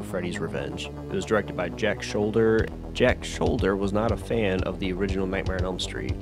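Against music in the background, a man with a very deep, low pitch talks at a fairly quick pace. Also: ordinary pitch variation. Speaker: movie reviewer. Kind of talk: casual movie review narration. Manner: casual, profane.

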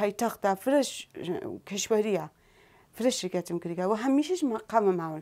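Lively intonation colors a woman's dark, mellow tone as she speaks at a moderate pace. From Sanandaj, Iranian Kurdistan; Iranian Kurdistan. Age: 40s. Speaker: Quran teacher and athlete; Quran teacher. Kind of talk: talk show interview. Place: studio.

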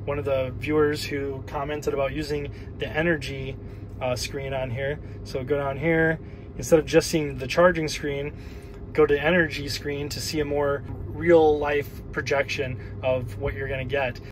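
A man's fairly even intonation and moderate pace come through over light background noise. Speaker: car owner vlogger. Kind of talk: tutorial. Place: car. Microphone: phone near.

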